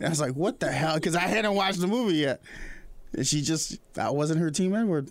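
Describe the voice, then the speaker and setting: A fairly quick, high male voice with ordinary pitch variation and very even loudness. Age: 30s. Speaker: podcast host. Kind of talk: casual interview. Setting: studio. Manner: energetic.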